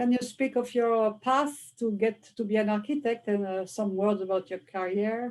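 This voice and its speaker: In a French accent, a woman speaks at a moderate pace with hardly any pauses. Her fairly high voice keeps a fairly even intonation. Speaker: interviewer. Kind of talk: interview.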